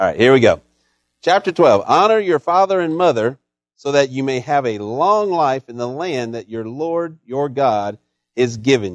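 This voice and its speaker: In an ordinary speaking voice, a man with a fairly high pitch talks at a moderate pace with lively intonation, the sound dry and close with no echo. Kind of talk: fervent pastoral prayer. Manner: earnest, warm, heartfelt, pleading.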